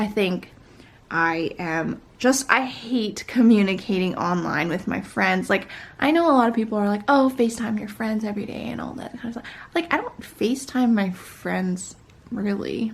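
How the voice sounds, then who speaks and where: A woman talks at a moderate pace and medium pitch. Her loudness swings widely while her pitch variation stays ordinary. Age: young. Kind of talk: casual vlog chat. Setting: at home, wearing a face mask. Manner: rambling, with many fillers.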